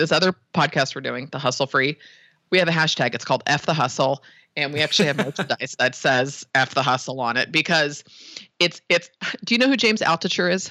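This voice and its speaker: A very fast Californian accent on a very clean recording with a silent background. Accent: Californian American. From San Francisco Bay Area. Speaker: web design business owner. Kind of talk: interview. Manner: animated.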